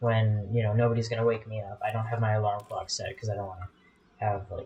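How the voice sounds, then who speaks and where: A man talks with a medium pitch. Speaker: gaming YouTuber. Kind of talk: gameplay commentary. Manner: fast; casual, rambling with fillers.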